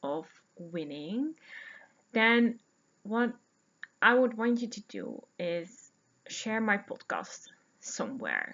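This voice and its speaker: A woman with a Dutch accent, fairly high in pitch with vocal fry and very wide pitch swings, at a very slow pace. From Netherlands. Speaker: podcast host, knitter and yarn dyer. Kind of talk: casual podcast monologue. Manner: chatty with many fillers.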